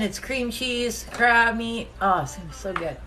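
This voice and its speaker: Audible room echo surrounds a woman whose fairly high pitch moves with fairly even intonation at a moderate pace. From Nova Scotia, Canada. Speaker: home cook streamer. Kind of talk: casual live cooking stream.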